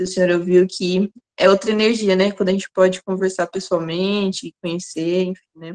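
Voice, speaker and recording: At a fairly slow pace, a woman speaks in a medium pitch, with a dry, close sound and no echo. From Campinas, interior of São Paulo, Brazil. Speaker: workshop participant asking a question. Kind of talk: question in an online seminar. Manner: halting, many fillers and repetitions.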